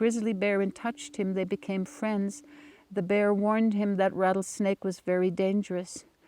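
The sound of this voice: This is an unforced reading voice. Nothing more is heard in it.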